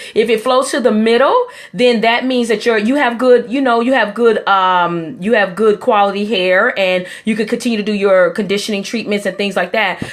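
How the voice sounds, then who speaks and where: At a moderate pace with hardly any pauses, a woman talks in an unremarkable speaking voice, fairly high in pitch with ordinary pitch variation. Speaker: hair restoration specialist. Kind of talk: live stream tutorial. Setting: live stream broadcast.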